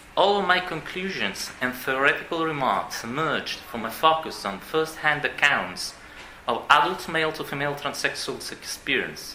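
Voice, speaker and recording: Amid noticeable background noise and audible room echo, a man with a non-native accent and a fairly high pitch speaks at a moderate pace. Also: lively intonation. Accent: non-native English pronunciation. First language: Italian. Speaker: psychiatrist. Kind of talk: conference talk read aloud. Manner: formal.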